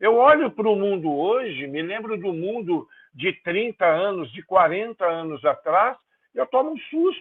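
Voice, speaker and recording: A man talks at a fairly slow pace with lively intonation. His pitch sits high. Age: 60s. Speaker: pastor. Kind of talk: sermon. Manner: halting, with repetitions.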